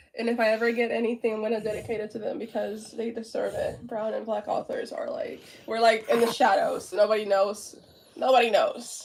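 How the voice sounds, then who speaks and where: Noticeable background noise sits under this recording. A woman talks at a fairly quick pace. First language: Spanish. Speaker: author and artist. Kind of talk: casual interview chat. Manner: animated.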